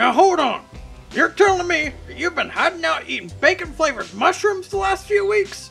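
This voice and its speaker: A moderate pace over faint music in the background. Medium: machinima. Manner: irritable, blustering.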